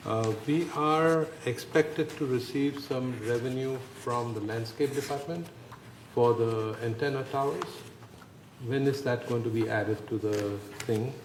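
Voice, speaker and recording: A man's medium-pitched voice at a fairly slow pace, ordinary pitch variation, and noticeable background noise. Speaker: board director. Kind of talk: board meeting discussion. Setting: boardroom meeting, broadcast.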